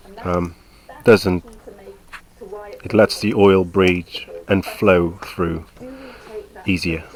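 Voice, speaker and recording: A man with a very deep, low pitch talks very slowly in a flat monotone, with long, frequent pauses. Noticeable background noise is present. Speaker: motorcycle owner, home mechanic. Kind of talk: casual how-to commentary over video. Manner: casual, hesitant.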